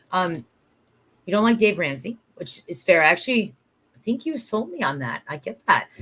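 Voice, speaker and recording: A woman with an animated tone speaks at a moderate pace and medium pitch, her voice showing very wide pitch swings, big swings in loudness and long, frequent pauses. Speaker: small business event organizer. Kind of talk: live-stream conversation.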